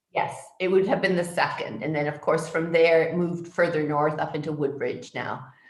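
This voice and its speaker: A woman with a fairly low voice speaks at a fairly quick pace. Room echo is audible, along with noticeable background noise. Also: fairly even intonation. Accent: Canadian. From Toronto, Canada. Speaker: public health physician. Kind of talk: interview answers. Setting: video call from home.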